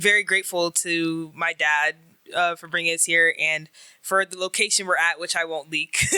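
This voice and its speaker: Using an American accent, a woman talks at a fairly low pitch and a moderate pace with fairly even intonation. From United States. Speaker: university student, interview guest. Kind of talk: interview. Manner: hesitant, many fillers.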